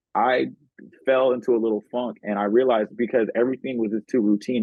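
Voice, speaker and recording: A man's plain, everyday voice at a medium pitch and a fairly quick pace. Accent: American. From Oakland, California. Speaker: podcast host. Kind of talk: casual chat.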